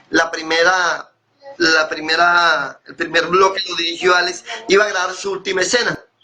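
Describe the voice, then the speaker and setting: With music playing behind him, a man with a high pitch speaks at a moderate pace in a monotone, flat intonation. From Colombian Caribbean, Córdoba. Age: 60s. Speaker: actor and playwright. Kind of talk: interview.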